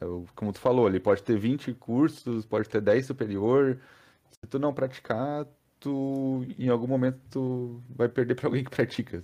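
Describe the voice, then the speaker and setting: There are big swings in loudness as a man talks in a dark, mellow tone. His pitch varies in an ordinary way. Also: medium pitch for a man, moderate pace, quiet background. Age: 30s. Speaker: software developer and technical school teacher. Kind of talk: casual interview chat.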